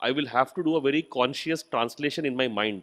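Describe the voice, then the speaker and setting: At a fairly quick pace, a man with an Indian accent speaks at medium pitch with ordinary pitch variation, in a very clean recording with a silent background. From India, Hindi-speaking. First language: Hindi. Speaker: university vice chancellor. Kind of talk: inaugural speech. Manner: halting, with frequent fillers.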